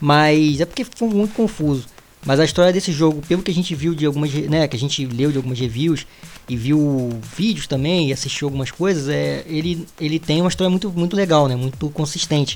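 A man's fairly high voice with ordinary pitch variation, at a fairly quick pace, over noticeable background noise. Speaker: gaming podcast co-host. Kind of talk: casual chat.

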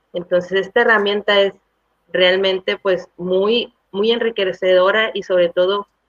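A woman with an ordinary speaking voice at medium pitch. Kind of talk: testimony. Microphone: audio problems.

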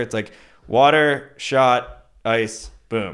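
On a very clean recording with a silent background, a man with an American accent has an unremarkable speaking voice, medium pitch and ordinary pitch variation. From US Northeast (New Jersey). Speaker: beverage marketing manager. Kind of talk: casual chat.

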